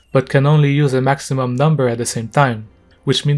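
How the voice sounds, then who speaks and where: Medium-pitched male voice at a fairly quick pace, fairly even in intonation, with music in the background. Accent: non-native. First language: not English. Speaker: gaming commentator. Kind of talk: casual rant to camera.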